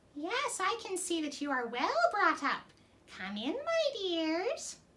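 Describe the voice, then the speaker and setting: A woman's put-on character voice, squeaky and extremely high in pitch, with very wide pitch swings at a fairly slow pace. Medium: read story. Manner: shifts between crooning sweetness and sharp anger.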